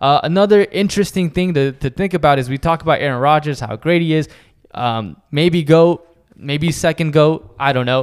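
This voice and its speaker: Fairly high in pitch, this man's unremarkable speaking voice moves at a moderate pace and shows ordinary pitch variation. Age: 30s. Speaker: sports podcast co-host. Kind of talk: casual chat.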